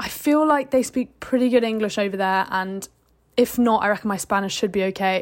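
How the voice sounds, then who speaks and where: Speaking fairly quickly, a woman with a British accent uses a fairly high pitch. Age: 20s. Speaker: podcaster. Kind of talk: casual monologue.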